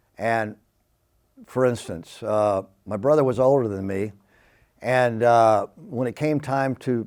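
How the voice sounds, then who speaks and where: A man talks with an American accent at a medium pitch. His pitch varies in an ordinary way. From Southeast Texas, Beaumont. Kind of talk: testimony. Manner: hyper, energetic; halting, many fillers.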